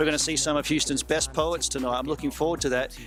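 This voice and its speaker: With music in the background, a man speaks at a fairly high pitch with ordinary pitch variation. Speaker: video host, interviewer. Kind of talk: interview questions.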